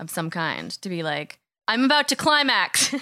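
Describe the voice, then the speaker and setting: A woman with an American accent speaks at a moderate pace, her tone bright and sharp. Her pitch swings very widely, and the recording is very clean with a silent background. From US Midwest. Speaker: podcast co-host. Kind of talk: casual chat.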